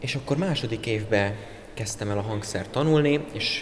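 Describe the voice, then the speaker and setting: Ordinary pitch variation in a man's fairly low voice, with noticeable background noise. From southern Hungary, Pécs; Hungary. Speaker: music student, classical guitarist. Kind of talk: interview; interview answer. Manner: hesitant, repeats words. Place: hall.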